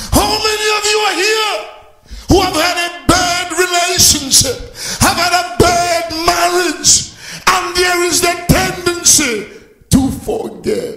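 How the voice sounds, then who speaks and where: A man's raised, projected voice at an extremely high pitch and a very slow pace, with ordinary pitch variation, audible room echo and noticeable background noise. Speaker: pastor. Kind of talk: sermon. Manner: animated.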